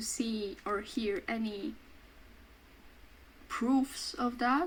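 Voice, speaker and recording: The voice belongs to a woman with a high pitch. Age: 20s; student. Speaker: vlogger. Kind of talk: casual chat. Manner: loud; talkative, halting.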